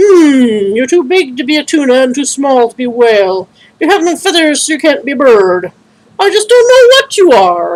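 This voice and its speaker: At a high pitch and with very wide pitch swings, the woman puts on a character voice. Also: moderate pace. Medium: read story. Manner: gentle, thoughtful.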